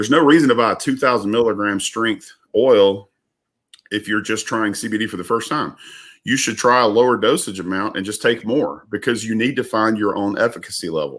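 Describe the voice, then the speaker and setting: Recorded very cleanly against a silent background, a man with a Southern US accent speaks at a medium pitch with ordinary pitch variation. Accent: Southern drawl. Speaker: business owner. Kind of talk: casual chat. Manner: halting.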